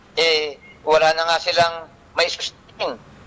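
This man's tone is bright and sharp. He talks at a fairly slow pace. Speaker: land title advocate on radio. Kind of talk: radio talk show discussion. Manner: halting with many fillers; animated.

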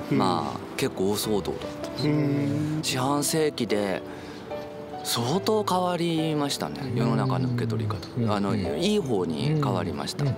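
Over loud music in the background, a man speaks at a moderate pace with very wide pitch swings and long, frequent pauses, in a dry sound with no echo. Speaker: transgender studies researcher and university lecturer. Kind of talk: casual conversation with a friend. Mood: reflective, warm, some smiles. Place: open country.

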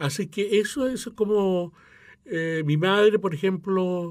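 The background stays quiet as a man speaks with ordinary pitch variation. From Chile, Mapuche; Chile. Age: 60s. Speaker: opera tenor and choir director; interviewee. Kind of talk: interview; interview answer. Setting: radio studio. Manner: halting. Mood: calm, reflective. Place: studio. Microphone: studio mic.

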